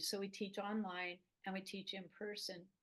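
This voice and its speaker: A woman talks at a moderate pace in a medium pitch. Her intonation stays monotone and flat. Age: 70s. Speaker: gardener and herb teacher. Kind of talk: interview. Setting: podcast interview.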